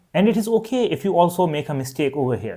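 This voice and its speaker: A man with a Pakistani accent speaks at a fairly quick pace in a dark, mellow tone, his pitch swinging very widely. The recording is very clean, with a silent background. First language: Urdu. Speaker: language teacher. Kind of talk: tutorial.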